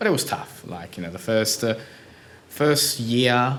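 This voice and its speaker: A man speaks at a moderate pace with a slight Italian accent. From Italy (Puglia), moved to Australia at ten. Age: 30s. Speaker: digital marketing entrepreneur. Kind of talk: casual interview.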